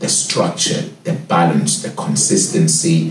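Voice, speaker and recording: A man with a South African accent speaks amid audible room echo and light background noise. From Cape Town, South Africa. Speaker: head sommelier. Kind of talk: interview answer. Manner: engaging. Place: office.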